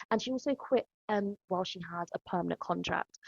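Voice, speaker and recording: With a London accent, a woman talks at a very fast pace through vocal fry. The sound is dry and close, without echo. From East London, of Ghanaian heritage. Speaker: podcast host, educator. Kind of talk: podcast conversation.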